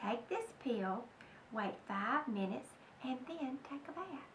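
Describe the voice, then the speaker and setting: Over clear background noise, a woman does a put-on character voice at a high pitch, speaking at a fairly slow pace with lively intonation. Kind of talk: bedtime story. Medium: read story. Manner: calm, matter-of-fact.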